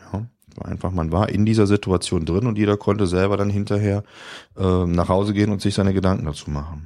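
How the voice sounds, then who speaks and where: A man's dark, mellow voice, fairly low in pitch, with fairly even intonation at a fairly quick pace. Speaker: podcast guest recounting a blindness experience exhibit. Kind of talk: casual chat.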